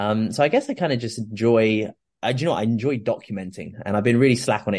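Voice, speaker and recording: Speaking at a very fast pace with a southern English accent, a man shows ordinary pitch variation over a quiet background. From southern England (Oxfordshire). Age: 20s. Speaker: fitness coach and former kayak athlete. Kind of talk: casual interview chat.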